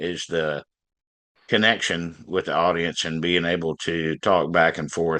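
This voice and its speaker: The background is quiet while a man with a bright, sharp tone speaks at a fairly slow pace. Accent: Southern US. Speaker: blues band frontman and harmonica player. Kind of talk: interview.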